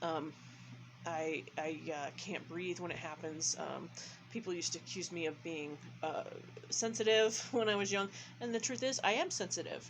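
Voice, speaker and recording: Her fairly low voice carries vocal fry as the woman speaks at a moderate pace. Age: 40s. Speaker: vlogger. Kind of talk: casual vlog monologue. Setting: bedroom in group home.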